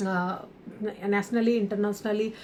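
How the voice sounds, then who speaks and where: A woman's dark, mellow voice with an Odia accent and monotone, flat intonation. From India, Odisha. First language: Odia (speaking Hindi). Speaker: author and entrepreneur. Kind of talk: podcast interview. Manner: halting, many fillers.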